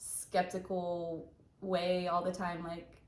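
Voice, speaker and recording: The woman speaks with a fairly low pitch in a Southern US accent. Audible room echo surrounds her voice. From US South, Alabama. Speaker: ER nurse, channel co-host. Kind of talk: casual chat.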